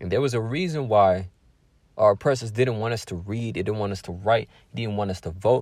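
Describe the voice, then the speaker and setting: This man has an American accent and fairly low pitch, speaking at a fairly quick pace with ordinary pitch variation. The recording is very clean, with a silent background. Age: 20s. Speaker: religious podcaster and author. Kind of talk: solo reflective monologue.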